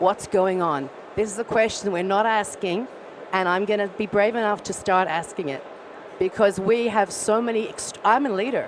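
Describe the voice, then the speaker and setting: A woman speaks with an Australian accent over noticeable background noise. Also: medium pitch for a woman, ordinary pitch variation, moderate pace. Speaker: audience member asking a question. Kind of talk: audience question at a panel. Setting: conference stage with audience. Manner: quiet at first.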